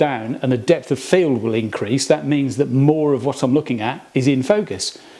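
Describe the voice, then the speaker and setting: A man's fairly high-pitched voice with ordinary pitch variation over noticeable background noise. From England. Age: 50s. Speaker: hobbyist workshop video maker. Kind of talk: casual tutorial. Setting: workshop. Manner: halting, many fillers.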